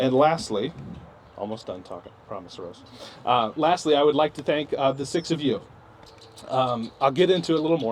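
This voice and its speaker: A man's fairly quick speech, with lively intonation and big swings in loudness. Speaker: program instructor. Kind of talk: graduation ceremony speech. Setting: ceremony with live audience. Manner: fast; hesitant, many filler words.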